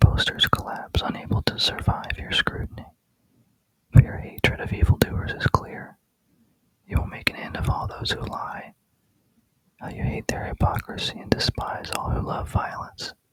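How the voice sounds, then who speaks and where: A man whispering at a moderate pace, with big swings in loudness and long, frequent pauses. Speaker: Bible reader. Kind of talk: ASMR scripture reading. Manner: whispered.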